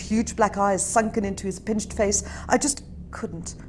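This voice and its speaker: Noticeable background noise sits behind the speaker. A woman talks at a fairly quick pace. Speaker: author. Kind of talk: author reading of own fiction.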